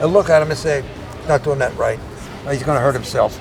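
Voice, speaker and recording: With an American accent, a man at a fairly high pitch talks amid noticeable background noise and audible room echo. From US Northeast (Philadelphia, New York City). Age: 70s. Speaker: veteran bodybuilder. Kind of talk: interview.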